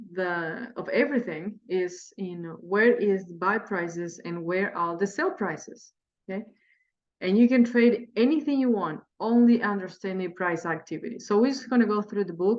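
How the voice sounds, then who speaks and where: A woman speaks at a moderate pace. She has a Spanish accent. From Spanish-speaking country. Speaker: day trader and trading teacher. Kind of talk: tutorial. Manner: halting.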